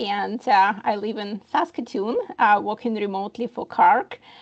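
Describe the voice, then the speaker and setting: At a moderate pace, a woman speaks with a Ukrainian accent at a fairly high pitch. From Ukraine. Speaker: HR professional and immigration consultant. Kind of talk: presentation.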